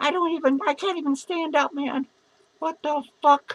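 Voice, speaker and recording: Fairly slow, high-pitched put-on character voice from a woman. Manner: slurred, panicked, swearing.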